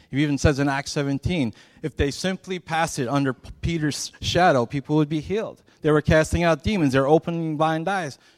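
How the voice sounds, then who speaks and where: Heard on a very clean recording with a silent background, a man speaks in an American accent, the sound dry and close with no echo. His pitch is fairly high with ordinary pitch variation. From Chicago. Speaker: pastor. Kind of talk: fervent sermon on prayer, rising exhortation to the congregation. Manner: impassioned, building emphasis, punchy repeated phrases; conversational, wry asides to the audience.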